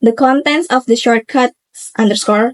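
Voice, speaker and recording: A woman speaks in a fairly high pitch with an Indonesian accent. The sound is dry and close, with no echo. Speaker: university student. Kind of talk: tutorial presentation. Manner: halting.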